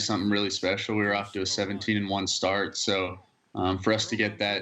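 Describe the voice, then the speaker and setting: A man's bright, sharp tone at a fairly low pitch, fairly quick in pace, with a slight Alabama accent. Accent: slight Alabama accent picked up. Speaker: college baseball player. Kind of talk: interview. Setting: video call. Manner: halting, with fillers and repeated words.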